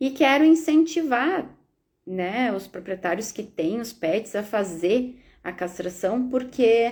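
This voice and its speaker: A woman's very slow, fairly high-pitched speech with lively intonation, on a very clean recording with a silent background. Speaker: veterinarian. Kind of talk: live stream Q&A.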